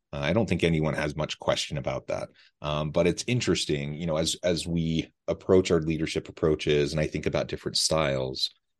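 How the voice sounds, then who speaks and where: Very deep and low, a man's voice with an American accent runs at a fairly quick pace with hardly any pauses and fairly even intonation, over a quiet background. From Utah. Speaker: podcast host. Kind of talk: interview conversation. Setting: remote call.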